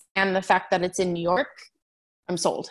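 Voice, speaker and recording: A woman with an American accent talks against a quiet background. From San Diego, California. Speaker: music booking agent. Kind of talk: interview.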